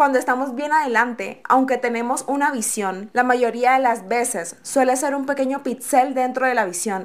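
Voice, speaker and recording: In a very clean recording with a silent background, a woman talks at a moderate pace with a high pitch. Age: 20s. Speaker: podcast host. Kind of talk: inspirational monologue.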